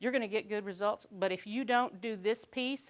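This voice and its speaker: In a Kentucky accent, a woman talks at a moderate pace with ordinary pitch variation. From Kentucky, Lexington area. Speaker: conference speaker, quality control worker. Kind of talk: conference talk.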